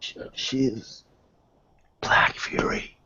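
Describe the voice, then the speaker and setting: A raspy whisper in a put-on character voice. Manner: offhand whisper.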